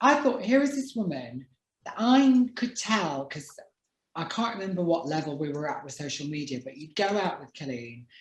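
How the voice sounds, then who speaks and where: A somewhat breathy woman's voice with very wide pitch swings and big swings in loudness. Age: 40s. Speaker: talk show host and author. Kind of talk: casual chat.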